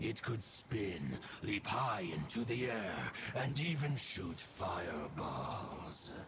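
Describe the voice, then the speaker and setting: Using a put-on character voice, a man speaks very slowly at a fairly low pitch over clear background noise. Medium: video game. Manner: solemn, archaic, stately.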